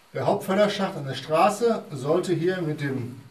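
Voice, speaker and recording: In a room with audible echo, a man with a high pitch and lively intonation speaks at a very slow pace. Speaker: mine guide. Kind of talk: guided tour explanation. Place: tunnel cave. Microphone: camera far.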